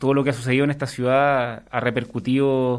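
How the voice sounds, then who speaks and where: A man speaks with a Chilean accent. The recording is very clean, with a silent background. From southern Chile. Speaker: master's student, trained lawyer. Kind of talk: radio interview. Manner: hesitant, many fillers.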